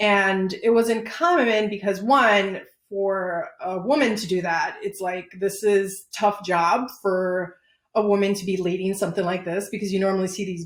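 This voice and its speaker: With a Chicago accent, a woman speaks at a fairly slow pace and medium pitch. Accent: Chicago American English. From Chicago, Pilsen neighborhood, Mexican family. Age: 30s. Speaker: business owner. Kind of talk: interview.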